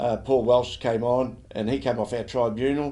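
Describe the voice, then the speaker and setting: A man's dark, mellow voice at a medium pitch, with an Australian accent. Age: 70s. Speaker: football league president. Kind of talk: interview. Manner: halting, many fillers.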